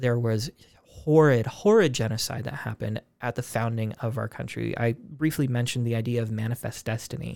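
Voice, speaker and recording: A man with an American accent talks in a normal speaking voice at a moderate pace, medium in pitch with ordinary pitch variation. The sound is dry and close with no echo, on a very clean recording with a silent background. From US, Spokane, Washington. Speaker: podcast host. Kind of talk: casual chat.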